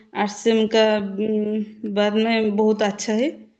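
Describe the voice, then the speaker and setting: A woman with an Odia accent, her fairly high-pitched voice dark and mellow in tone. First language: Odia (speaking Hindi). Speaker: direct-selling business member. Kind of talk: testimony. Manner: halting.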